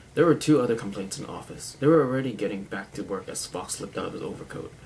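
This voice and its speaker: Noticeable background noise sits behind this man. He talks at a very fast pace with lively intonation. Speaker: amateur video blogger reading a book. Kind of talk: reading a crime novel aloud to camera.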